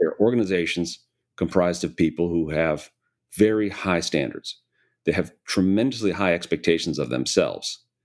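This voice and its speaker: With an American accent, a man speaks at a moderate pace in a very deep, low voice with vocal fry and ordinary pitch variation, in a very clean recording with a silent background. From US Midwest, Chicago area. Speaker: private equity investor, CEO. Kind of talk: interview conversation.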